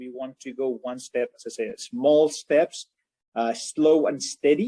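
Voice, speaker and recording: With a Spanish accent, a man speaks at a moderate pace and a fairly high pitch. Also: dry, close sound with no echo. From Spain. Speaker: mining company president. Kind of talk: interview.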